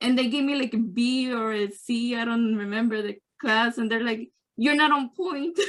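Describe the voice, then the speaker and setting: A woman with a Spanish accent, high in pitch, at a moderate pace with ordinary pitch variation. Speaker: workshop participant. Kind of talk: casual chat. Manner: halting.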